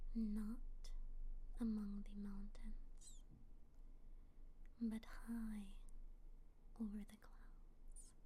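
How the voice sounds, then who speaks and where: Someone whispers at a very slow pace. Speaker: ASMR creator. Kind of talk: read story. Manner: whispered.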